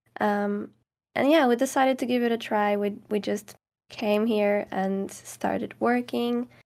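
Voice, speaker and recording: A woman speaks at a moderate pace in a Portuguese accent. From Portugal, near Caldas da Rainha. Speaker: ASMR creator. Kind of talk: casual interview chat.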